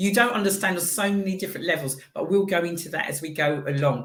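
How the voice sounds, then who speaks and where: A woman speaks in an animated tone at a fairly quick pace. There is audible room echo. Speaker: radio show host. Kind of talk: casual chat interview. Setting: live-streamed radio studio.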